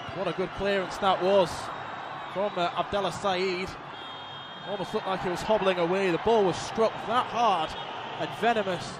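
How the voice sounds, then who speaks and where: With noticeable background noise behind him, a man speaks at a high pitch in an animated tone, leaving long, frequent pauses. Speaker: football commentator. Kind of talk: live football commentary. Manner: fast, clipped, running play-by-play; animated, excitable.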